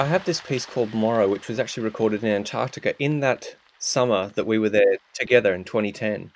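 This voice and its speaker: A man talks at a very fast pace with an Australian accent. He leaves hardly any pauses, and his pitch varies in an ordinary way. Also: medium pitch for a man. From Australia, Queensland. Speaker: sound artist. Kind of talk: interview. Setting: remote call.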